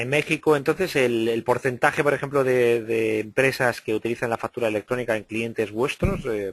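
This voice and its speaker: Delivery is fairly quick, with ordinary pitch variation, in an ordinary speaking voice. Nothing echoes, and the sound stays dry and close. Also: man. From Spain, Valencia. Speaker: interviewer. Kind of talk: interview.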